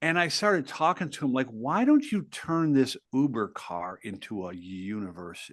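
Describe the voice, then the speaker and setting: A man at a medium pitch, with very wide pitch swings, moderate pace and hardly any pauses, against a quiet background. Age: 60s. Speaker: author and entrepreneur. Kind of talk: podcast interview.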